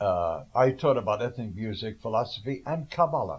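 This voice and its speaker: A man with vocal fry talks at a fairly quick pace with lively intonation. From New York (Brooklyn). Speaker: cellist and composer. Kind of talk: interview. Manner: halting.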